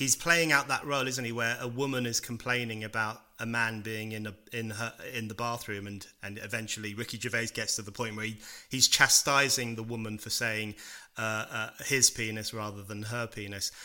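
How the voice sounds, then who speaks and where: A man's medium-pitched voice, bright and sharp in tone, at a moderate pace with big swings in loudness. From UK. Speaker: author and political writer. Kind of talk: interview.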